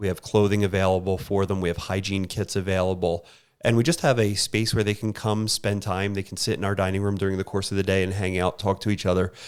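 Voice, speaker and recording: In a very clean recording with a silent background, a man with a Philadelphia accent speaks very fast with hardly any pauses, his fairly low voice monotone and flat in intonation. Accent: Philadelphia accent, noticeable. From Philadelphia, US. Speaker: homeless shelter worker. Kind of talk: interview.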